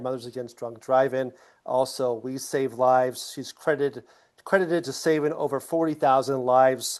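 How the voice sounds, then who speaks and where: Over a quiet background, a man in a normal speaking voice talks at a moderate pace with medium pitch and fairly even intonation. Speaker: co-host, safety speaker and advocate.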